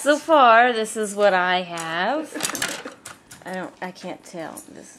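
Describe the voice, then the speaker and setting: A woman at a medium pitch, very slow in pace, with lively intonation, big swings in loudness and noticeable background noise. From Rhode Island. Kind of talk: casual vlog talk to camera.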